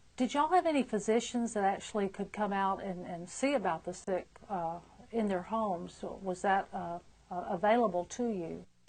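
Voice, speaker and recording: A woman speaks at a moderate pace in a medium pitch, with ordinary pitch variation. It is an ordinary speaking voice. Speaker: nurse interviewer. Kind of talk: interview questions.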